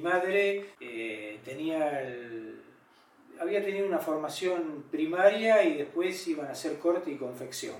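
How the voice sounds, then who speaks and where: The man talks at a fairly slow pace. Audible room echo surrounds his voice. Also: fairly high pitch for a man, lively intonation, big swings in loudness. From Argentina, La Plata. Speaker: photographer and activist. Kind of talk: personal testimony interview. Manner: hesitant, many fillers.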